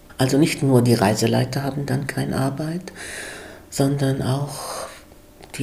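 Speaking at a very slow pace, a woman has a very deep, low pitch. Audible room echo and noticeable background noise surround her. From Germany. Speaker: guest speaker. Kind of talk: interview.

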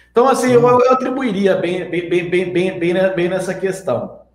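A man speaks at a fairly slow pace and a high pitch. Audible room echo surrounds his voice. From Minas Gerais, Brazil. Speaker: investment youtuber. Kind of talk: interview.

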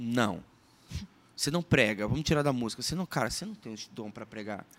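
A man speaks at a fairly quick pace in a normal speaking voice. The sound is dry and close, with no echo. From Sergipe, Brazil. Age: 30s. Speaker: musician and former radio presenter. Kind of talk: podcast interview, personal testimony and teaching.

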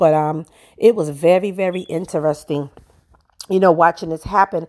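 Here a woman speaks with a New York accent. She talks at a fairly quick pace. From Brooklyn, New York. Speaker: podcast host. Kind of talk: solo podcast monologue. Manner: conversational, laughing.

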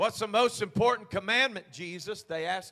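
A man speaks in a raised, projected voice, animated and bright with a sharp tone and ordinary pitch variation. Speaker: preacher. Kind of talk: sermon. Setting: church. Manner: animated, exhorting call-and-response delivery; fervent, urgent altar-call pleading.

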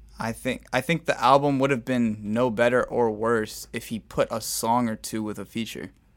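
A man's normal speaking voice at medium pitch, fairly even in intonation, moderate in pace with hardly any pauses, on a very clean recording with a silent background. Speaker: podcast host talking about music. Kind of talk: casual podcast chat about music.

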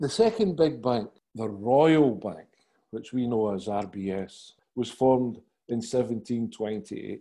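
With a Glaswegian accent, a man talks very slowly at a medium pitch, his tone dark and mellow, with ordinary pitch variation. The background is quiet. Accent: Glaswegian Scottish. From Scotland, Glasgow. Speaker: author and podcast interviewer. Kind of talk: interview.

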